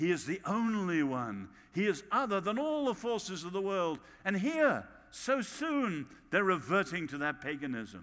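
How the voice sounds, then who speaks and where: A British accent at a moderate pace, with very wide pitch swings, on a very clean recording with a silent background. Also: man, high pitch for a man. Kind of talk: sermon.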